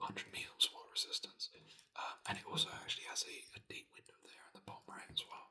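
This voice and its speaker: Whispering at a moderate pace, a man speaks. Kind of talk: ASMR whispered ramble about a hobby; casual talk to camera. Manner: casual, conversational, rambling with filler words.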